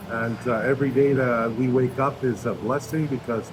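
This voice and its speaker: With music in the background and audible room echo, a man speaks at a moderate pace, medium in pitch, with fairly even intonation. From Canada. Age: 50s. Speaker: retiree, gym-goer. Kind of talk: casual chat. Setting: gym.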